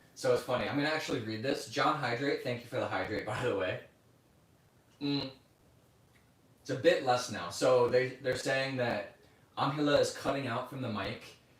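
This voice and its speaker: Amid audible room echo, a man at medium pitch speaks at a moderate pace with fairly even intonation and long, frequent pauses. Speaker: livestreamer. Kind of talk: casual chat. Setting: livestream. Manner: loud, voice carries.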